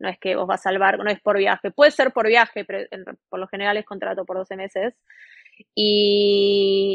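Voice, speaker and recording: In an ordinary speaking voice, a woman speaks at a moderate pace and medium pitch with fairly even intonation, though her loudness swings widely. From Argentina, Buenos Aires. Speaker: railway worker, former chef. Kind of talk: interview.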